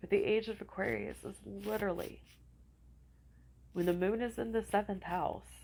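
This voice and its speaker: A woman with vocal fry speaks at a moderate pace. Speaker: astrology and spiritual vlogger. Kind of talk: casual talk to camera.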